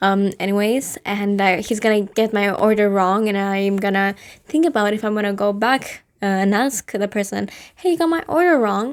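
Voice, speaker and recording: A woman with a non-native accent speaks at a medium pitch and moderate pace, with ordinary pitch variation. Her loudness stays very even in a very clean recording with a silent background. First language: not English. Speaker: vlogger. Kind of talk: casual monologue. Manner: hesitant, many fillers.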